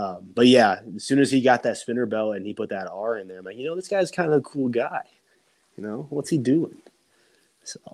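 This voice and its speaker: A man with a plain, everyday voice at medium pitch, lively intonation, a fairly quick pace and big swings in loudness. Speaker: pro wrestler. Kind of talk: casual chat.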